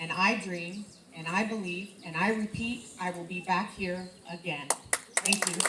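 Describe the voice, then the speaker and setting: A woman with a Midwestern American accent speaks at a fairly slow pace and a medium pitch with fairly even intonation. Noticeable background noise is present. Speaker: leadership coach and businesswoman. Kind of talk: speech to students. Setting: school event with audience, microphone. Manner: loud.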